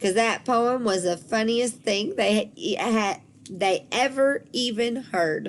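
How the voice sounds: A woman speaks at a slow pace. Her pitch is fairly high, with ordinary variation.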